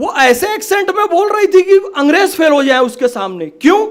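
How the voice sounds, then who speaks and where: Male voice, average tempo, normal movement in pitch. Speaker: event speaker. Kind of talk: public speech.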